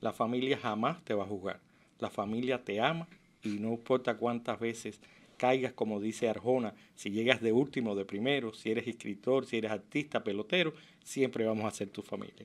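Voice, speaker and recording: A man talks at a moderate pace. He has a Cuban accent. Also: medium pitch for a man, ordinary pitch variation. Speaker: physician; interview guest. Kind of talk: interview testimony. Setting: radio studio. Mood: warm, earnest. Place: studio. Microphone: studio mic.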